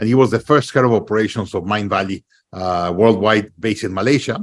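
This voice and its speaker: On a very clean recording with a silent background, a man with a slight Latin American accent talks at a very fast pace with lively intonation. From Mexico. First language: Spanish. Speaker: podcast host. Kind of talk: interview podcast. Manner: hesitant, many fillers.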